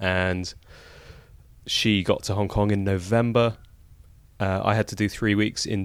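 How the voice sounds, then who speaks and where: In a London accent, a man with a very deep, low pitch speaks at a moderate pace in a monotone, flat manner, on a very clean recording with a silent background. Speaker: podcast guest. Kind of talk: interview.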